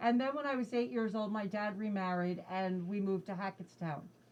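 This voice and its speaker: A woman with an American accent, medium pitch, lively intonation, a moderate pace and an unremarkable speaking voice. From New Jersey. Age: 60s. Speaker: state politician. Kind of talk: interview.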